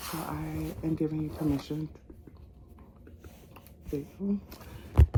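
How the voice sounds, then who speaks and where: Soft-spoken, a woman talks at a very slow pace. Noticeable background noise is present. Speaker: ASMR creator. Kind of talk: ASMR soft spoken ramble. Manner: soft-spoken, calming.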